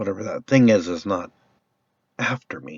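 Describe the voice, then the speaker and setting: A man's raspy, put-on character voice, fairly low in pitch, at a moderate pace. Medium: solo performance. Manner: rambling, hesitant.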